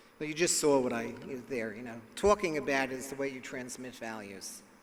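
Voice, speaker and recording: Audible room echo surrounds a man's fairly high voice. He talks at a moderate pace. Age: 60s. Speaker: psychologist and speaker. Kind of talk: lecture.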